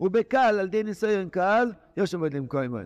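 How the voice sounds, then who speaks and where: A man is recorded in a dry, close sound with no echo against a quiet background. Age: 60s. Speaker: rabbi teaching Torah text. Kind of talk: lecture. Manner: animated.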